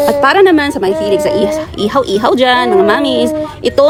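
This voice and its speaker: Music plays in the background as a woman speaks. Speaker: food vlogger. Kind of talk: vlog narration. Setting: outdoor street food market. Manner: loud, near-shouting; animated.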